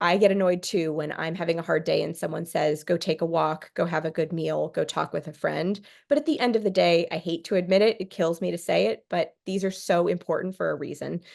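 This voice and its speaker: A woman with an American accent, at a fairly quick pace with hardly any pauses. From California. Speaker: therapist. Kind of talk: workshop presentation. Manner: fast.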